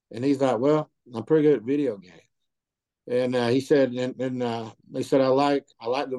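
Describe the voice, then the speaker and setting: In a Southern US accent, a man talks at a fairly quick pace with a dark, mellow tone. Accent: Southern US (Georgia). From US South, Georgia. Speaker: author and business owner. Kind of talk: interview testimony. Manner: halting, repeats words.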